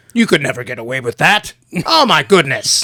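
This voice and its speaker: A put-on character voice with a middle pitch. It moves at a fairly quick pace. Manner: exaggerated, cartoonish.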